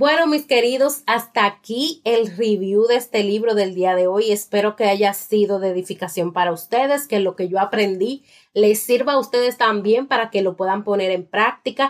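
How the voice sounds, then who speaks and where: A woman speaks in a normal speaking voice, fairly high in pitch, with ordinary pitch variation and very even loudness. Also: moderate pace, hardly any pauses. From Dominican Republic, La Romana. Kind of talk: book review monologue.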